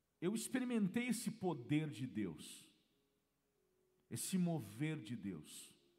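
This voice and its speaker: A man with a dark, mellow tone speaks very slowly, pausing long and often. His pitch swings very widely, and the room echo is audible. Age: 40s. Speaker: pastor. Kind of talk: sermon. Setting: church.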